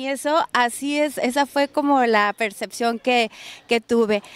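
The woman's voice has ordinary pitch variation and a dry sound with no echo. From northern Mexico (Baja California). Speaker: radio/video host. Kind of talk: on-location interview and restaurant tour. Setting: on location in a restaurant. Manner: animated. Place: cafe. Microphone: handheld.

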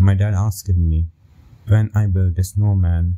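A man with a very deep, low voice speaks at a fairly slow pace, his tone serious and his intonation fairly even. The sound is somewhat breathy, with a dark, mellow tone. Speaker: story narrator. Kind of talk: horror story narration, first-person scripted telling. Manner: slow, hushed, suspenseful pacing; serious, measured, building dread.

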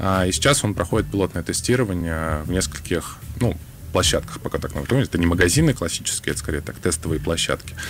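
Amid noticeable background noise, a man with a very deep, low pitch talks at a very fast pace. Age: young. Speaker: government innovation agency official. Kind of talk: radio interview. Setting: radio studio.

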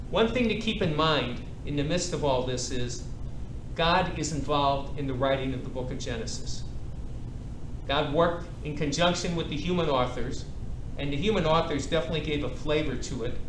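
A man speaks at a moderate pace with ordinary pitch variation. Long, frequent pauses break up his speech, and background noise is noticeable. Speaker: priest teaching a Bible class. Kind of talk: lecture. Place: hall.

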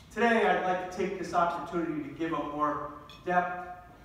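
Strong room echo surrounds the voice. The pace is moderate and the intonation fairly even. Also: man, high pitch for a man. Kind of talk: formal speech. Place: hall.

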